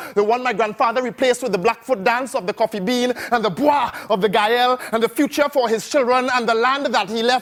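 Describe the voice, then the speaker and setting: Extremely high pitch from a man, with fairly even intonation and noticeable background noise. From Trinidad. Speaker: spoken word poet. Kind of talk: performance poetry.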